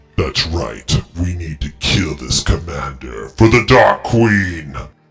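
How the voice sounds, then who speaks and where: A man puts on a character voice that is guttural and very deep, with very wide pitch swings. He speaks at a fairly slow pace over music in the background. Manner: menacing.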